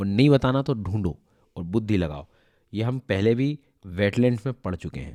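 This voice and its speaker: A man talks at a moderate pace, at medium pitch with ordinary variation and a dark, mellow tone. The recording is very clean with a silent background, and the sound is dry and close with no echo. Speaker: exam prep teacher. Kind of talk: lecture. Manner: conversational, hesitant fillers.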